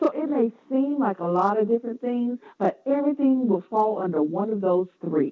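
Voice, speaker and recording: With a Southern accent, a woman speaks at a moderate pace in a fairly high pitch and with lively intonation. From US South, North Carolina. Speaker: educator, publisher and podcaster. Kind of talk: interview.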